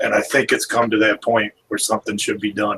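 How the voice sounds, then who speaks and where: A man puts on a raspy character voice at medium pitch. The sound is dry and close, with no echo. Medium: actual play.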